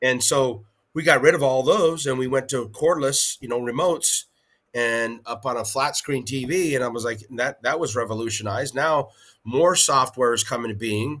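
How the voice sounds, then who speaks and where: The speaker uses a normal speaking voice at a moderate pace. Pitch variation is ordinary. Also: man, medium pitch for a man. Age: 60s. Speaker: powerlifting federation president. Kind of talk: interview.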